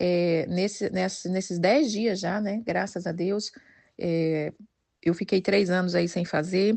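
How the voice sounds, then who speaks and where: Her pace is very slow. The woman holds a medium pitch with fairly even intonation. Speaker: women's devotional leader. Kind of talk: devotional talk.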